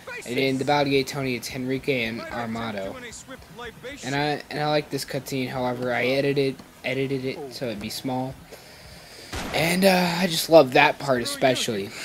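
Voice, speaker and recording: A man mumbles at a moderate pace, with medium pitch and ordinary pitch variation. Long, frequent pauses break up his speech over noticeable background noise. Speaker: video game reviewer. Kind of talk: game review voiceover. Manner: mumbling; hesitant, many fillers.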